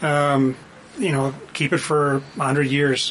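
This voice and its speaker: Over noticeable background noise, a man with a Canadian accent talks in a monotone, flat way at a fairly high pitch. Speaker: political panelist. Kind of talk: casual panel discussion. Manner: halting, full of ums and uhs.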